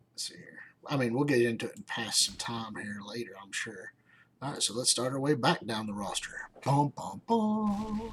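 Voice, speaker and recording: A man of medium pitch talks in a relaxed, somewhat breathy tone. His pitch swings very widely and his loudness rises and falls a lot. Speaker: gaming streamer. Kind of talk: live gameplay stream commentary. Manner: casual, relaxed.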